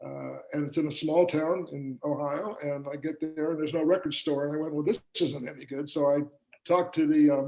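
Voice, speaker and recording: A man with an American accent talks at a fairly quick pace in a fairly high pitch. His tone is dark and mellow, and his intonation is monotone and flat. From US Midwest, Kansas City, Missouri. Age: 70s. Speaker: business owner. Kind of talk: interview. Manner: halting, many fillers.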